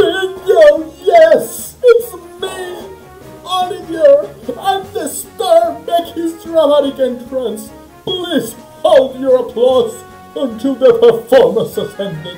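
A high-pitched, put-on character voice speaks at a very slow pace. Clear music plays in the background. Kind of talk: grandiose. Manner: theatrical, dramatic, boastful.

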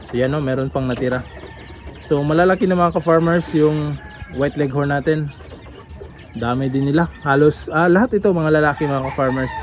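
Through noticeable background noise, a man with a fairly high pitch and ordinary pitch variation talks at a fairly quick pace. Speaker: farmer vlogger. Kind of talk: casual vlog tour. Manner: casual, with frequent fillers.

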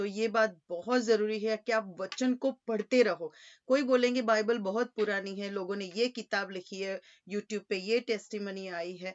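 Against a quiet background, a woman with a fairly high pitch speaks at a fairly slow pace. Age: 40s. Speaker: preacher. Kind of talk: sermon. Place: home room. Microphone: webcam.

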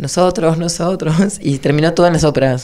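A woman's dark, mellow tone carries vocal fry and lively intonation. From Argentina. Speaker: choreographer; interviewee. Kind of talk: interview. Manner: halting, many restarts. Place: studio. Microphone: handheld.

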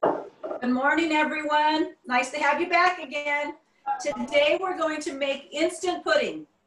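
Audible room echo surrounds the woman speaking. She talks fairly slowly, with ordinary pitch variation. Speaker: cooking instructor. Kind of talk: tutorial. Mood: warm, friendly. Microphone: video call.

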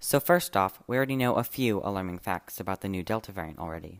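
Against a quiet background, a man speaks in a normal speaking voice at a fairly quick pace, fairly low in pitch with ordinary pitch variation. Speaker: student podcast host. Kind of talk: podcast narration.

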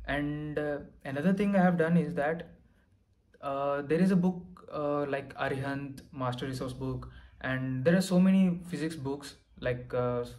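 The speaker has an Indian accent and a moderate pace. The intonation stays fairly even. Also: man. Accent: Indian English (Telugu). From Andhra Pradesh, India. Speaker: exam topper sharing success story; candidate. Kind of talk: testimony and exam advice. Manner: hesitant, many fillers. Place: home room.

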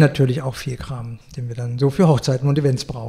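A man's medium-pitched voice with ordinary pitch variation, set against noticeable background noise. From Berlin, Germany. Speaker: florist. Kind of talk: interview. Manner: hesitant, many fillers.

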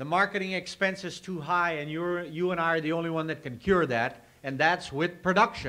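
A man with an American accent speaks at a high pitch. His pitch varies in an ordinary way, and his pace is moderate. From Nebraska. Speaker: farm organization grain representative. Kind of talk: convention speech. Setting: convention meeting hall. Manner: folksy. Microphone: old recording.

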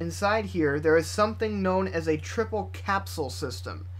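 A man's very deep, low voice, somewhat breathy, at a moderate pace with ordinary pitch variation. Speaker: product reviewer. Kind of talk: tutorial. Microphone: studio mic.

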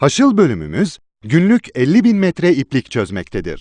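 A man talks at a moderate pace, his pitch swinging very widely. The sound is dry and close with no echo, over a quiet background. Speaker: voice-over artist. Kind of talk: corporate promotional film narration. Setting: studio.

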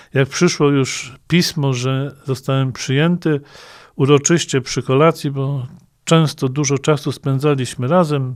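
In a very clean recording with a silent background, an unremarkable speaking voice moves at a fairly slow pace with fairly even intonation. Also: man, fairly high pitch for a man. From Greater Poland, western Poland (Śmigiel, Leszno). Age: 50s. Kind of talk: interview.

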